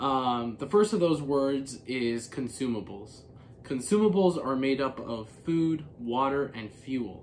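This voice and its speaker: A man talks with typical pitch variation while light noise is audible behind him. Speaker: hiker vlogger. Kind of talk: casual explainer vlog. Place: home room.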